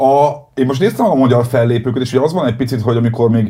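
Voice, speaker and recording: Speaking very fast with ordinary pitch variation, a man uses a medium-pitched, somewhat breathy voice with a dark, mellow tone. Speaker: podcast host. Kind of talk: casual interview.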